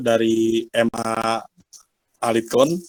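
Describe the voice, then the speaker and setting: The speaker is a man with a medium-pitched voice. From Jakarta area, Betawi. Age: 20s. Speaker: university student. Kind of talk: class self-introduction.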